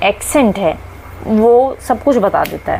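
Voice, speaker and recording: A woman speaks with a Haryanvi accent over noticeable background noise. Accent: Haryanvi tone in Hindi and English. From Haryana, India. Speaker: English teacher. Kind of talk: lecture. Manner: halting, with fillers.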